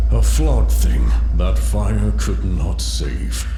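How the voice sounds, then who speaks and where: At a very slow pace, a man performs a put-on character voice with slight echo and loud music in the background. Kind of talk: ominous oracular pronouncement. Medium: game stream. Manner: solemn, cryptic, menacing.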